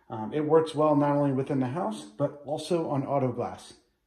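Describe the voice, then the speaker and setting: There is audible room echo against a quiet background. A man speaks at a moderate pace. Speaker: home cleaning vlogger. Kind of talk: casual vlog chat. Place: bathroom. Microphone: phone near.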